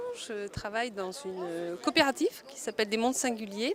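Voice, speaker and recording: Her intonation moves in a lively way. The woman's voice sits fairly high. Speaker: multimedia designer, workshop participant. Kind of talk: interview testimony. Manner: slow; hesitant, many fillers.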